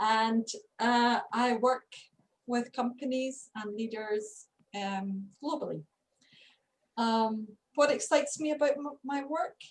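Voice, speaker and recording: Speaking very slowly with long, frequent pauses, a woman with a Scottish accent uses a high pitch and ordinary pitch variation. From Scotland. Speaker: leadership coach, co-host. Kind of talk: video call discussion.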